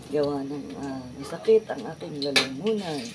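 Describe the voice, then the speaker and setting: A woman with a very deep, low pitch speaks at a fairly slow pace, her pitch swinging very widely. Noticeable background noise and audible room echo fill the recording. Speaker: cooking vlogger. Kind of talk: casual vlog narration.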